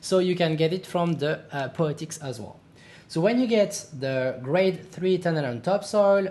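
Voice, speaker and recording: The speaker has a French accent. The pace is fairly slow. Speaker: gaming youtuber. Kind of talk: tutorial. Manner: halting, many fillers.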